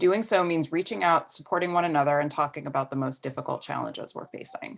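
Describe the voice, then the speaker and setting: Over a quiet background, a woman with a very deep, low pitch and vocal fry talks at a very fast pace. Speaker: audio producer and editor. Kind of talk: interview questions.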